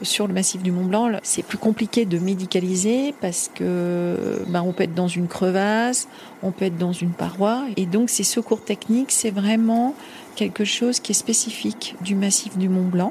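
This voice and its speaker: A woman talks at a medium pitch with ordinary pitch variation and very even loudness, over noticeable background noise. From French Pyrenees (Ariège). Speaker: mountain rescue doctor. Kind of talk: testimony. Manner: halting.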